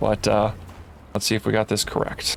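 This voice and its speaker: A man speaks quietly. Noticeable background noise sits behind him. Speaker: gaming streamer. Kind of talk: live game stream commentary. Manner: halting, many fillers. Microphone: volume adjusted after being too quiet.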